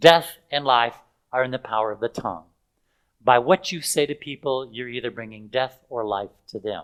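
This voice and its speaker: The man's medium-pitched voice rises and falls with ordinary pitch variation. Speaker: health and spiritual seminar speaker. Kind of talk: live seminar presentation to an audience. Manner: passionate, emphatic, teacherly.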